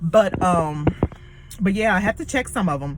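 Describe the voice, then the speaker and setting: A woman talks at a moderate pace and with lively intonation, noticeable background noise audible behind her. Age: 40s. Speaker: vlogger and nursing student. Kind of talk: casual vlog monologue.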